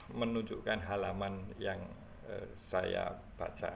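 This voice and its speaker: A man talks at a very slow pace. The room echo is audible and background noise is noticeable. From Java, Indonesia. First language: Javanese (speaking Indonesian). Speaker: history content creator. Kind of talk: casual talk about a book. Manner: halting, many fillers.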